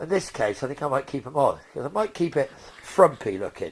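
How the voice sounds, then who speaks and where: Speaking at a moderate pace, a man with an English accent has a fairly high pitch. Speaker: car restorer, video creator. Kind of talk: workshop vlog, casual talk to camera. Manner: loud; casual, rambling.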